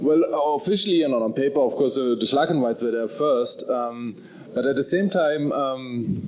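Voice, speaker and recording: Lively intonation at a moderate pace in a German accent, over noticeable background noise. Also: man, fairly high pitch for a man. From Germany, Bavaria. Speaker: novelist. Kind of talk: panel discussion. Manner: halting, many fillers and repeats.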